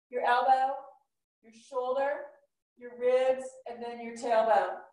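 The speech moves at a fairly slow pace with fairly even intonation. An audible room echo hangs around the voice. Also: woman. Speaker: yoga instructor. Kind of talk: class instruction. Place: home room.

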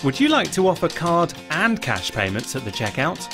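Clear music plays in the background while the voice moves at a moderate pace with very wide pitch swings. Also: man. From British. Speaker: voice actor. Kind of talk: corporate explainer narration. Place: studio. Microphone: studio mic.

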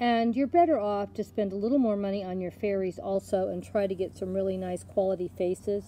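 A woman speaks at a fairly quick pace with medium pitch, a dark, mellow tone and fairly even intonation.

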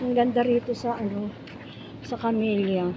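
A woman's very slow, monotone, flat delivery amid audible room echo and noticeable background noise. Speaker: vlogger. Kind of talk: casual vlog narration. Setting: outdoors.

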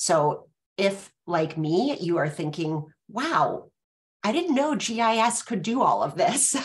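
A somewhat breathy woman at medium pitch and a very slow pace, with very wide pitch swings. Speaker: webinar host. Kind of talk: webinar moderation. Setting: video call. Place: home room. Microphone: webcam.

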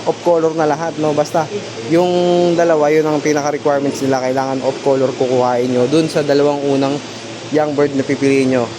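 Noticeable background noise sits behind a voice moving at a fairly quick pace. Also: man. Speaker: pigeon racing vlogger promoting a loft's birds. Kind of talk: sales pitch. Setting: showroom, filming on camera. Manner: repeats "no?" to keep the audience engaged and lists prices and deals energetically.

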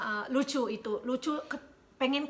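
Raising and projecting her high-pitched voice, a woman talks at a moderate pace with ordinary pitch variation. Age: 40s. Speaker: YouTuber; couple vlogger. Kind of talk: casual chat. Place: home room. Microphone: phone near.

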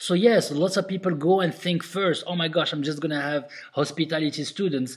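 A man with a non-native accent and fairly high pitch talks at a very fast pace in an enthusiastic tone. His pitch variation is ordinary. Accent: foreign-accented English. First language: not English. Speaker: restaurant owner and consultant. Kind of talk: tutorial. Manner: casual, many fillers.

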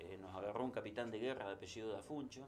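A man talking at a very fast clip, ordinary pitch variation, light background noise. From Argentina, Santa Fe. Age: 60s. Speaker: sports journalist. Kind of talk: interview. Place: studio.

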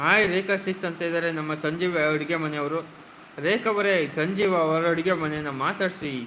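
A man speaks with a high pitch and a bright, sharp tone. His intonation is fairly even. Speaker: live streamer. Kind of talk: casual live stream chat. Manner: not soft-spoken.

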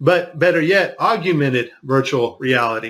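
A man speaks in a bright, sharp tone. His pitch shows ordinary variation. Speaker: video commentator. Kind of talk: commentary. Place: studio.

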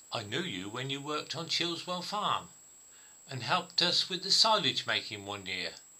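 A man at a fairly slow pace, with very wide pitch swings and noticeable background noise. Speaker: amateur filmmaker. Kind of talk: monologue telling a humorous story.

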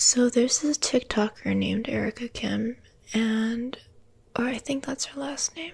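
A woman's soft-spoken, gentle voice, high-pitched, with fairly even intonation and a fairly slow pace. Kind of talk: soft casual role-play chat. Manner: soft-spoken, close, gentle ASMR voice. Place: home room. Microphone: phone near.

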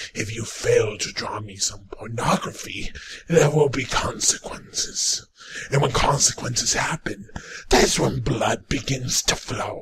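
A man puts on a raspy character voice. He talks at a fairly slow pace. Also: medium pitch for a man. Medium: voice reel. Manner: menacing, threatening.

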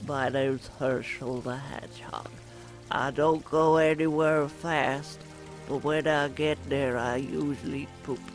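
Clear music plays in the background as a man uses a put-on character voice. He talks at a fairly slow pace with a medium pitch. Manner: comical, silly.

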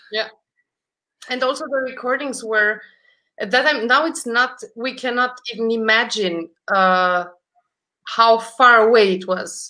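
Over a quiet background, a woman with a Romanian accent talks fairly slowly in a bright, sharp tone at a fairly high pitch, with ordinary pitch variation and long, frequent pauses. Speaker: concert pianist; guest. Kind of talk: casual interview chat; interview answer. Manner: halting, repeats words. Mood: warm, reflective. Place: home room.

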